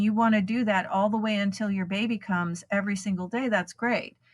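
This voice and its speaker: In a very clean recording with a silent background, a woman talks at a medium pitch in a somewhat breathy voice. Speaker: hypnobirthing program founder. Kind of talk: interview answer.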